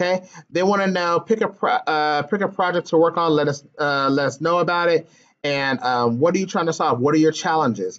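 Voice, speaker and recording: A man's fairly high voice at a fairly quick pace, with ordinary pitch variation and very even loudness. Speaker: teacher trainer. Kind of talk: tutorial. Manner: hesitant fillers.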